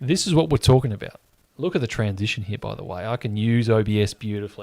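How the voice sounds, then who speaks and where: On a very clean recording with a silent background, a man of medium pitch talks at a very fast pace with an Australian accent and lively intonation. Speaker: sports livestream host. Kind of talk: live watch-along chat and quiz hosting. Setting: livestream. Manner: casual, chatty.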